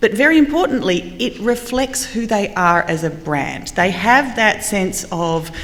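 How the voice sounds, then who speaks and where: A woman with an Australian accent, lively intonation and a fairly slow pace, plus audible room echo and noticeable background noise. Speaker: marketing panelist. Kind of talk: panel discussion.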